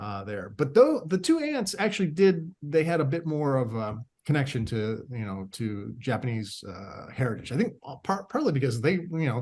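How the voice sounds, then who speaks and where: The speech comes in an American accent, somewhat breathy, with very wide pitch swings. Loudness swings widely, and there are hardly any pauses. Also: man, fairly high pitch for a man, moderate pace. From US Midwest, Akron, Ohio. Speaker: writer. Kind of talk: podcast interview. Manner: halting, many fillers.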